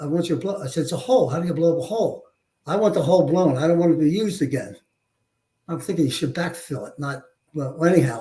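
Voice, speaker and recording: The man's pitch is fairly high, with ordinary variation. His tone is dark and mellow. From Philadelphia, US. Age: 70s. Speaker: war veteran and police chief. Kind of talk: interview storytelling. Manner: halting, many fillers.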